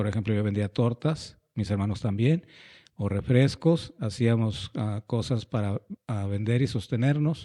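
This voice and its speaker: Dry, close sound with no echo and a very clean recording over a silent background carry a man's dark, mellow tone at a fairly slow pace. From northwestern Mexico, Hermosillo, Sonora. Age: 60s. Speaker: pastor and educator. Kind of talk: interview, life story.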